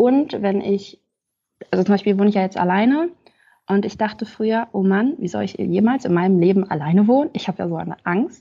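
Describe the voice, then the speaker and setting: A woman has an ordinary speaking voice at a medium pitch. She talks at a fairly quick pace with ordinary pitch variation. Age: 20s. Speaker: podcast guest sharing lived experience. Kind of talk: testimony.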